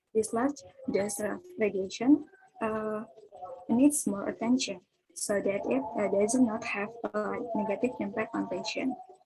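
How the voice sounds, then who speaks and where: Over music in the background, a woman speaks at a fairly high pitch and fairly slow pace with ordinary pitch variation and long, frequent pauses. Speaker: physics student presenter. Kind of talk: student presentation. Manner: reading from notes.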